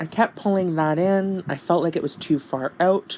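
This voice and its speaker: The pace is fairly slow. It is a woman talking. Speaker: beauty youtuber. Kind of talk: tutorial. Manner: halting, many fillers; casual.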